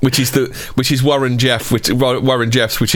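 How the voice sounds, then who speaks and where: A man with a British accent against noticeable background noise. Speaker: podcast co-host. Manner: fast talker.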